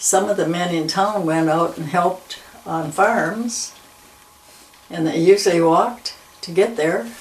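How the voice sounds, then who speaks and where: Noticeable background noise surrounds a speaker with an Upper Midwest accent. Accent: Upper Midwest American. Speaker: longtime local resident. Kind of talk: oral history interview. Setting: at her home.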